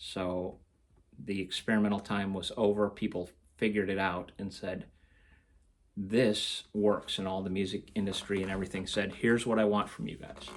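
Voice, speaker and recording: In a very clean recording with a silent background, a man speaks in a fairly low, monotone, flat voice. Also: moderate pace. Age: 60s. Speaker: guitar hobbyist vlogger. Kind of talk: casual vlog monologue. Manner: hesitant, many fillers.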